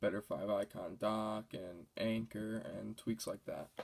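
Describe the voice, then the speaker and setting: A man does the talking. His pitch is in the middle range. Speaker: tech tutorial youtuber. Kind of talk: tutorial. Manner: low-key, not energetic; casual with fillers.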